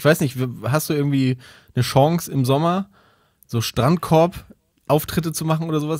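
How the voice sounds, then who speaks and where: The recording is very clean, and the background is silent. Words come out at a very fast pace. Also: man. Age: 30s. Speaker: comedy writer. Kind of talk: casual chat.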